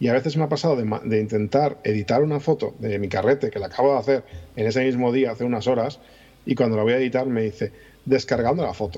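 A man with a Madrid accent at a very fast pace, in a medium pitch with ordinary pitch variation and a dark, mellow tone. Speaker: podcaster and YouTuber. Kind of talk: casual chat.

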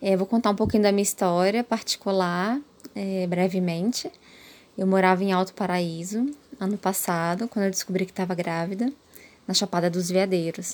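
A woman's plain, everyday voice, medium in pitch, with fairly even intonation at a moderate pace. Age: 30s. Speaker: mother sharing birth story. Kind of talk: personal testimony.

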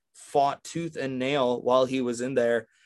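A man speaks with an American accent in a fairly high pitch. The recording is very clean, with a silent background. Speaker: sports podcast co-host. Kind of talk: casual sports chat. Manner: excitable.

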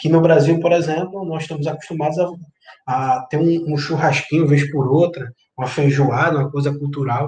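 A man talks at a moderate pace in a fairly high pitch, using a normal speaking voice. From Brazilian Northeast (Recife area). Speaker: history commentator. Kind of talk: interview.

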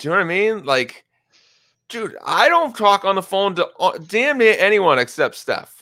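A man speaks in a raised, projected voice at high pitch, with a bright, sharp tone and very wide pitch swings. His pace is moderate, and the recording is very clean with a silent background. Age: 40s. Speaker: podcast host interviewing a fantasy league member. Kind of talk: casual chat.

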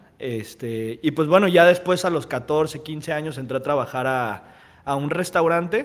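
With a normal speaking voice, a man talks at a fairly slow pace and a fairly high pitch. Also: ordinary pitch variation. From Mexico, Guadalajara. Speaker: restaurant owner and entrepreneur. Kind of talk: casual interview.

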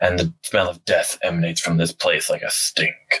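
At a moderate pace, the man delivers his lines in a put-on character voice. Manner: calm, dry, measured.

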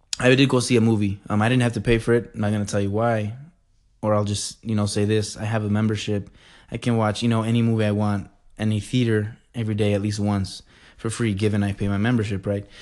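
The background is quiet. A man with a fairly low pitch speaks at a very fast pace. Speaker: podcast host. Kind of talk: casual solo monologue. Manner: animated.

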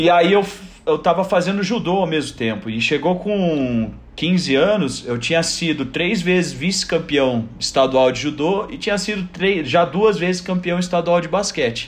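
Lively intonation carries the speech along at a fairly slow pace. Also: man, high pitch for a man. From southern Brazil, Joinville. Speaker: basketball coach. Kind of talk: casual chat.

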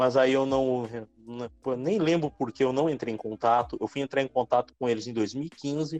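A man's medium-pitched voice at a moderate pace, ordinary pitch variation, dry and close with no echo. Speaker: pro wrestler. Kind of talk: casual interview.

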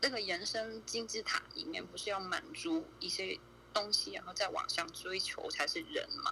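Noticeable background noise is present. A woman talks at a moderate pace. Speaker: viewer guest on a livestream. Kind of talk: casual chat.

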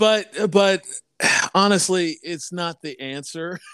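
Putting on a strained character voice, a man speaks at a very slow pace with a high pitch and ordinary pitch variation. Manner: reluctant, strained.

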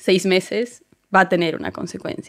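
A woman uses a normal speaking voice at medium pitch, keeping a moderate pace and fairly even intonation. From Bolivia. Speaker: strategy and experience design consultant. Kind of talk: casual chat.

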